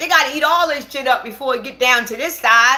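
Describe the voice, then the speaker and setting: Raising and projecting her voice, a woman speaks at a fairly quick pace in a bright, sharp, animated tone with ordinary pitch variation. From Baltimore, Maryland. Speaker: livestreamer. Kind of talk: casual livestream chat.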